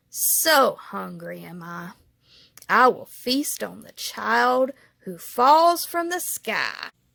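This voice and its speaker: A growling, put-on character voice moves at a very slow pace. The recording is very clean, with a silent background. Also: woman. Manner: menacing.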